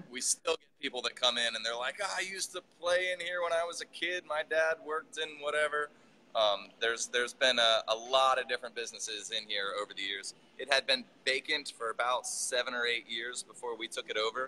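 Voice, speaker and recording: Bright and sharp in tone, a man's voice shows big swings in loudness. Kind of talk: interview answer. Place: factory. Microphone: video call.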